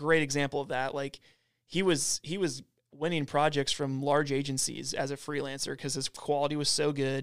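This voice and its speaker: A man speaks at a moderate pace in a fairly high pitch, his intonation monotone and flat, on a very clean recording with a silent background. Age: 20s. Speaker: videographer and video marketer. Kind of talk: casual interview.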